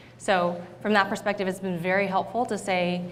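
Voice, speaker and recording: A woman with a General American accent speaks at a medium pitch with monotone, flat intonation. Audible room echo fills the recording. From US West Coast, San Diego California. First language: Thai. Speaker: tech company startup program leader. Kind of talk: onstage interview. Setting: stage with audience.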